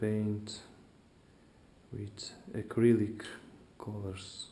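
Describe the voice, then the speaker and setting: Audible room echo surrounds a man with a non-native accent and fairly low pitch. He speaks at a very slow pace with monotone, flat intonation. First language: not English. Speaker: hobbyist YouTuber. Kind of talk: tutorial. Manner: halting.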